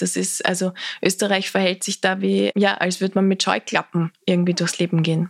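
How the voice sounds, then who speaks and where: A woman's medium-pitched voice in an Austrian accent, monotone and flat at a moderate pace, dry and close with no echo. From Austria, southern Lower Austria (Lilienfeld). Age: young. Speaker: political activist, campaign founder. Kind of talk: interview conversation.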